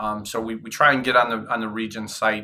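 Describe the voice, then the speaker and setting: A man speaks at a moderate pace with a fairly low pitch and a bright, sharp tone. The recording is very clean, with a silent background. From Indiana. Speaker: cross country head coach. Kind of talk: casual interview. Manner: loud.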